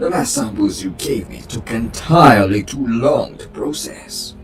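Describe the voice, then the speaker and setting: Against clear music in the background, a man delivers a put-on character voice at a moderate pace. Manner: brash, demanding.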